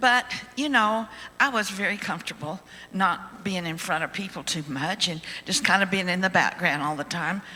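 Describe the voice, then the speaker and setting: A woman's medium-pitched voice rises and falls with lively intonation as noticeable background noise carries on behind her. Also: moderate pace. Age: 80s+. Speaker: ventriloquist. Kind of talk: testimony.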